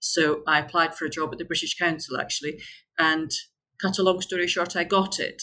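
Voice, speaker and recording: With a Scottish accent, a woman with a fairly low pitch and a bright, sharp tone speaks at a fairly quick pace with fairly even intonation. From Scotland. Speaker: tour company founder, expat. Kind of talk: casual interview.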